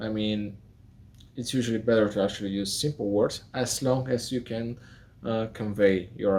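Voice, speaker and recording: A man talks at a fairly slow pace with a non-native accent. His pitch is fairly low, with ordinary variation. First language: not English. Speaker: architect and video tutor. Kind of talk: talking-head vlog. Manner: halting, with fillers.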